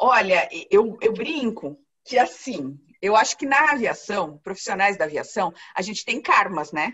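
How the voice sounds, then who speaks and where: At a fairly slow pace, a woman speaks in a fairly high pitch with very wide pitch swings. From Paraná, Brazil. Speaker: flight attendant. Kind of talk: interview answer.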